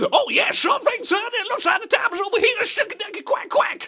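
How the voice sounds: Put on as a character voice, this squeaky, extremely high-pitched delivery moves at a fairly quick pace.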